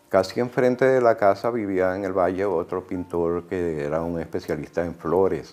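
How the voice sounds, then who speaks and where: His pitch is very deep and low. The man's pitch varies in an ordinary way. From Venezuela (Miranda, after early childhood in New York). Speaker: painter. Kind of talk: documentary interview. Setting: artist's studio. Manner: halting, frequent fillers and repetitions.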